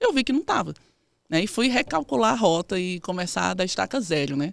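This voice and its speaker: A woman speaks at a moderate pace with very wide pitch swings. The sound is dry and close, with no echo. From Northeast Brazil, Campina Grande, Paraíba. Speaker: physiotherapist and researcher. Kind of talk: interview.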